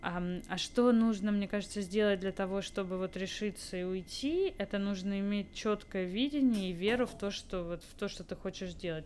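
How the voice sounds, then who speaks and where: Using a normal speaking voice, a woman talks at a moderate pace and medium pitch with ordinary pitch variation. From Moscow, Russia. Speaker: startup co-founder. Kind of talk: casual interview.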